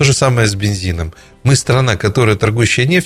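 Very fast and with lively intonation, a man rattles through his lines. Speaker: history professor. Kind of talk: talk radio discussion. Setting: studio.

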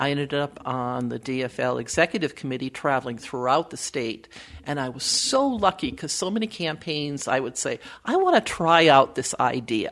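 A woman with an American accent talks in a very deep, low pitch with vocal fry. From Wisconsin, US Midwest. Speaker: political campaign strategist and author. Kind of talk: interview conversation.

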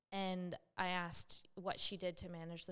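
The voice belongs to a woman and sits fairly low in pitch. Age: 30s. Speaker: health clinician and podcast co-host. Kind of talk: casual chat.

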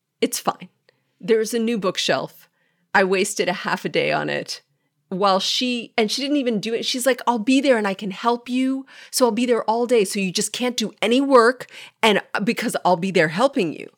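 In a very clean recording with a silent background, a woman with an unremarkable speaking voice and a fairly high pitch talks at a moderate pace with ordinary pitch variation. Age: 40s. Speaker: podcast co-host. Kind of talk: casual chat.

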